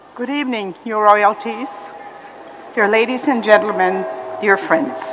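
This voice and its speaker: Her fairly high voice carries lively intonation over noticeable background noise as this woman talks. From Germany. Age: 70s. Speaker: Holocaust survivor. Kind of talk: testimony. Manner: formal.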